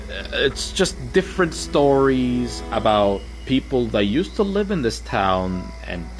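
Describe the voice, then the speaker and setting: Backed by music, a man talks with hardly any pauses. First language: Arabic. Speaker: game streamer. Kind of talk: casual gameplay livestream chat. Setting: livestream. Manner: casual, hesitant with fillers.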